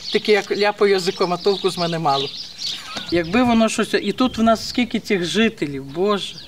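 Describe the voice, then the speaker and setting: A woman speaks at a medium pitch with ordinary pitch variation over noticeable background noise. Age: 60s. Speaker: village resident. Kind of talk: casual chat.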